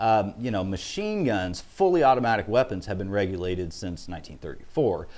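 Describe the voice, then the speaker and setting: A man with a Midwestern US accent talks at a fairly quick pace in a fairly low voice, his intonation lively and hardly any pauses, with audible room echo. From Illinois. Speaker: auctioneer and gun dealer. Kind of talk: interview.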